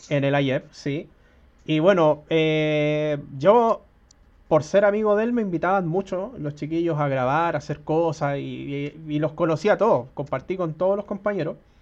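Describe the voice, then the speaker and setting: Against a quiet background, a man with a plain, everyday voice speaks slowly at a fairly high pitch with ordinary pitch variation. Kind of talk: interview.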